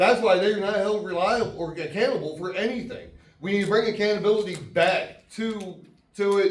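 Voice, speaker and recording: A loud, high-pitched man speaks at a moderate pace with fairly even intonation. Audible room echo and noticeable background noise surround his voice. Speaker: congressional candidate. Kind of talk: campaign speech.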